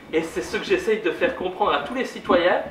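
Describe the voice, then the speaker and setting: A man's speech comes with audible room echo along with noticeable background noise. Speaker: politician. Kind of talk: public lecture. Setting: conference hall with audience. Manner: loud.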